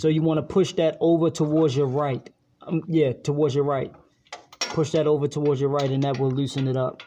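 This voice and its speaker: Someone with a slight Baltimore accent talks at a fairly quick pace. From US, Baltimore, Maryland. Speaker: YouTuber teaching a friend car repair. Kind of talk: tutorial. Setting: auto shop. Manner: casual, hesitant with fillers.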